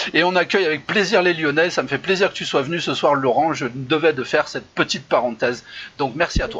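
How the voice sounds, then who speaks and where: A man speaks at a fairly quick pace with a fairly high pitch, a bright, sharp tone and ordinary pitch variation. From France, Saint-Étienne. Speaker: improv show host. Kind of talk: casual live chat show. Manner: hesitant, many fillers.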